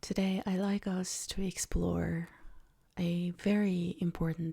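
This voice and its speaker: A soft-spoken woman's voice, fairly low in pitch, with a dark, mellow, gentle tone, somewhat breathy, at a very slow pace and in a monotone, flat intonation. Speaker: meditation guide. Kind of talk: casual talk to camera. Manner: soft-spoken, gentle.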